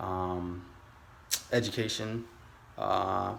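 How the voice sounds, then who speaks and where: A man speaks at a very slow pace with an American accent and fairly even intonation. Audible room echo surrounds his voice. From California. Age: 30s. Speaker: aspiring day trader vlogger. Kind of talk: casual vlog monologue. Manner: halting, many fillers.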